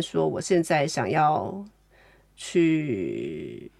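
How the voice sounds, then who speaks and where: Vocal fry marks this woman's speech. The recording is very clean, and the background is silent. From Taiwan. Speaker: novelist, artist and art educator. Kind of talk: interview conversation.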